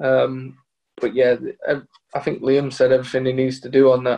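Behind speech at a moderate pace, the background remains quiet. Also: man. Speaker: footballer. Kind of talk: casual chat. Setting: video call. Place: home room. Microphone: video call.

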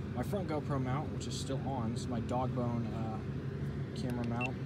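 There's a man talking. Heavy noise fills the background. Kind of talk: casual gear walkthrough. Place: open country.

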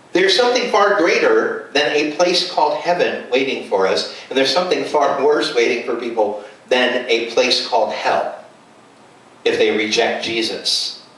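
Audible room echo surrounds the voice. A man delivers his words at a moderate pace. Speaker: preacher. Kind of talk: sermon. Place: home room.

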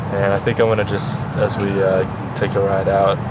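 Loud background noise surrounds a man as he talks. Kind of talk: casual vlog chat. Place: train. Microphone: phone near.

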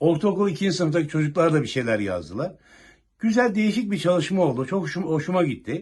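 Pitched high for a man, this male voice moves at a fairly quick pace with lively intonation. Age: 60s. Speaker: retired police officer. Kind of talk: news interview.

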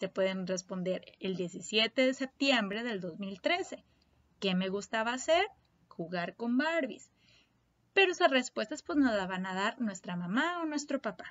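A fairly high-pitched woman's voice with very wide pitch swings, a fairly slow pace and long, frequent pauses. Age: 30s. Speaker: primary school teacher. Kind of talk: lesson for young children. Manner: slow and clear.

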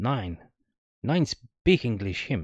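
A man's put-on character voice in a strong Balkan accent, raspy and fairly low-pitched, with a dry, close sound and no echo. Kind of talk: broken English. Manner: half-smiling.

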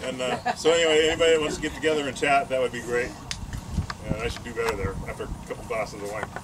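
A man talks at a fast pace over clear background noise. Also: medium pitch for a man, ordinary pitch variation.

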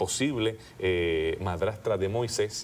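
A man talks very slowly, with light noise in the background. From Puerto Rico, rural countryside. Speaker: archaeologist and seminary professor; guest. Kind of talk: interview. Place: studio. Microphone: lapel.

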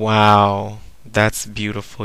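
A man with a fairly low-pitched voice. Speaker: machinima show host. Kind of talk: reality show host role play.

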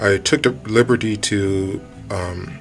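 A man's voice with clear music in the background. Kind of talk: tutorial. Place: workshop. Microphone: camera far.

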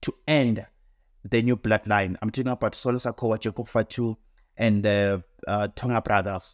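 Dry with no echo and set against a quiet background, a man's voice moves at a moderate pace. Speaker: wrestling commentator vlogger. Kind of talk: casual commentary. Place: home room.

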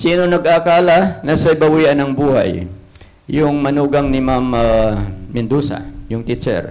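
A man with a fairly high pitch, an animated tone and lively intonation, at a fairly slow pace. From Philippines. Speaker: preacher. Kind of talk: sermon. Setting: church. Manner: animated, call-and-response, repeatedly asking 'Amen?' and urging applause; earnest, exhortative, plain-spoken. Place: church. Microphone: handheld.

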